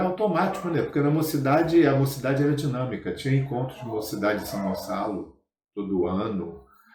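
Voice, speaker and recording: A man's fairly high voice with very wide pitch swings at a moderate pace, audible room echo around it. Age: 70s. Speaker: spiritist movement veteran. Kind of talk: interview. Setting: spiritist center.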